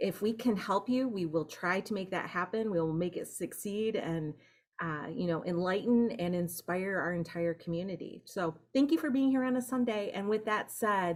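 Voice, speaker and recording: An ordinary speaking voice from a woman with an American accent, medium pitch, lively intonation and moderate pace. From Michigan. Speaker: organization staff member hosting a meeting. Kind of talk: welcome speech at an online meeting.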